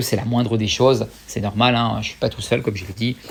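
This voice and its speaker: A man at medium pitch talks at a very fast pace in a monotone, flat intonation. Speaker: YouTuber. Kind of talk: casual vlog talk to viewers. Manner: hesitant with many fillers.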